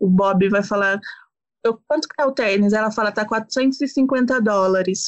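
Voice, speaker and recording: With a normal speaking voice, a woman talks at a fairly slow pace, her medium pitch carried on fairly even intonation. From São Paulo, Brazil. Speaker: public relations professional and podcaster. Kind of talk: casual chat.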